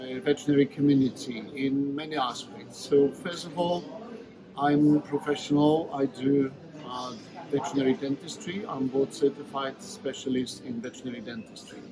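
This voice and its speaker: A man with a Polish accent speaks at a moderate pace and a fairly high pitch, with fairly even intonation. His loudness swings widely, and background noise is noticeable. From Poland. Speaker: veterinary dentist and teacher. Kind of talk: interview.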